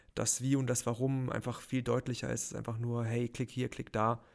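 A man speaks at a moderate pace in a medium pitch. The recording is very clean, with a silent background. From Baden-Württemberg, near Heidelberg. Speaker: freelance motion designer. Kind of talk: casual interview. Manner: hesitant, many fillers.

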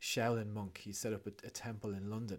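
Pitched fairly low, a man with an Irish accent speaks with fairly even intonation. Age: 40s. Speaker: breathwork facilitator and author. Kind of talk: casual interview chat.

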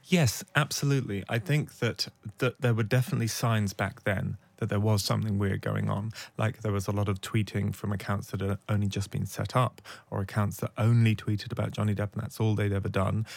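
In a very clean recording with a silent background, a man with a British accent talks fairly quickly at a fairly low pitch with fairly even intonation. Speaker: investigative journalist and podcast host. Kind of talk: interview.

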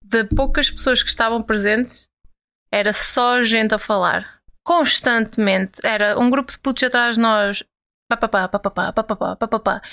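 With a bright, sharp tone and fairly even intonation, a woman speaks at a fairly high pitch in a very clean, dry, close recording with no echo and a silent background. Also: moderate pace. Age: 20s. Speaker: podcast co-host. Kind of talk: casual chat.

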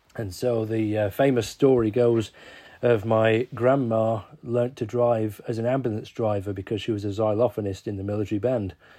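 A man's voice sits at medium pitch, dark and mellow in tone. He keeps a moderate pace and monotone, flat intonation. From Warrington, northern England. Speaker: church officer and musician. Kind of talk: casual interview.

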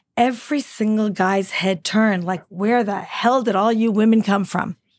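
A woman with a fairly high, somewhat breathy voice speaks fairly slowly with fairly even intonation against a quiet background. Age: 60s. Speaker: business CEO and entrepreneur. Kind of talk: interview.

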